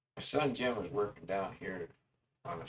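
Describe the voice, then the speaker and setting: Vocal fry from a man with lively intonation at a moderate pace. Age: 80s+. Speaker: old cowboy storyteller. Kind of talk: casual storytelling monologue. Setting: self-recorded on tape. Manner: folksy, meandering.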